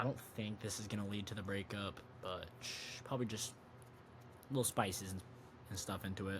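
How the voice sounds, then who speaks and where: Long, frequent pauses break up a man's fairly low, somewhat breathy voice, which stays at a fairly even intonation. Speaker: wrestling and sports podcast host. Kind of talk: casual solo commentary. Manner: fast; halting, self-correcting.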